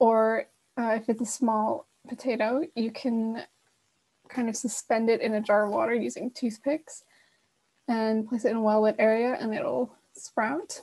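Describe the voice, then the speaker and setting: A woman's fairly high, somewhat breathy voice, with fairly even intonation and long, frequent pauses. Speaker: workshop host. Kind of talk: online workshop. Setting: video call. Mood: friendly, informal. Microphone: video call.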